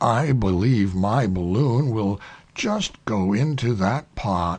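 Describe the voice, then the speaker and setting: A man in a put-on character voice, fairly low in pitch, at a very slow pace. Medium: read story. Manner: proud.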